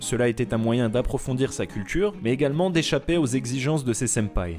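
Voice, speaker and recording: With music in the background, the speaker moves at a fairly quick pace, using lively intonation and very even loudness. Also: man, medium pitch for a man. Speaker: manga and anime video essayist. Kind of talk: documentary narration.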